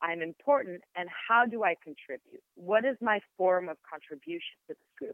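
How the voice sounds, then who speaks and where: A woman with an Israeli accent, medium-pitched, at a moderate pace with lively intonation and hardly any pauses. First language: Hebrew. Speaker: sound therapist and yoga teacher. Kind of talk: interview conversation. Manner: reflective.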